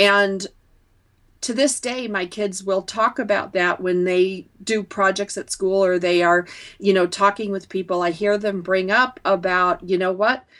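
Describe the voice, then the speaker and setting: A woman speaks in a plain, everyday voice at medium pitch. Her pace is fairly slow and her intonation fairly even. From upstate New York. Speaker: entrepreneur and author. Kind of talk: interview.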